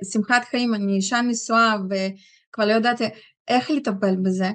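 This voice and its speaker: With a quiet background, a woman talks in a fairly high pitch and fairly even intonation. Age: 40s. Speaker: product user giving testimony. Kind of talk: testimony. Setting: stage with audience. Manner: halting. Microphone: video call.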